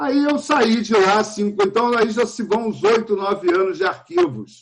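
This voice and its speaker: A man speaks in a high voice. His pace is fairly slow. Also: ordinary pitch variation. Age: 60s. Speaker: film director and archive researcher. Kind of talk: panel talk at a film festival.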